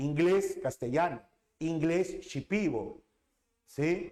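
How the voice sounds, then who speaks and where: A man talks at a very slow pace. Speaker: teacher. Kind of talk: lecture.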